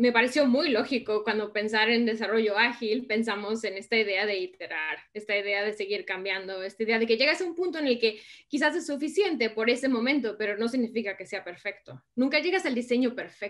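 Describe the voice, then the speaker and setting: A woman talks at a fairly quick pace with hardly any pauses, a fairly high pitch and lively intonation. She has a normal speaking voice. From Mexico. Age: 30s. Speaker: innovation consultant. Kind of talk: interview.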